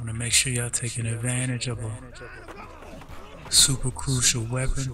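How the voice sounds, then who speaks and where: Over noticeable background noise, a soft-spoken man talks at medium pitch with monotone, flat intonation. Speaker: video game streamer. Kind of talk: casual gameplay commentary and tips.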